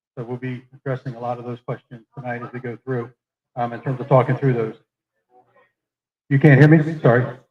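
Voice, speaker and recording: A man speaks fairly quickly in a somewhat breathy, monotone, flat voice of medium pitch. His loudness swings widely, and he takes long, frequent pauses. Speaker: meeting moderator. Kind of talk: public meeting Q&A moderation. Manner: fast.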